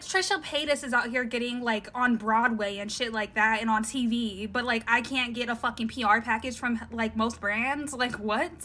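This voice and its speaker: Against noticeable background noise, a woman speaks with a whiny tone at a fairly high pitch and fairly even intonation. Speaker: social media influencer. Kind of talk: casual rant to camera.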